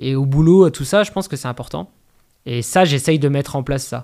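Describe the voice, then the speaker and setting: A man speaks in an ordinary speaking voice. His pitch shows ordinary variation. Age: 30s. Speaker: trail runner and running coach. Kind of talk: casual interview. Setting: recorded on location at an athletics club.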